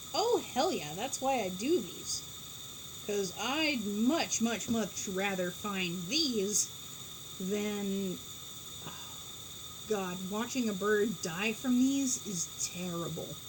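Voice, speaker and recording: Amid noticeable background noise and audible room echo, a woman speaks at a very slow pace with long, frequent pauses. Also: medium pitch for a woman. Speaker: pigeon keeper. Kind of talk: casual chat. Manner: loud; animated.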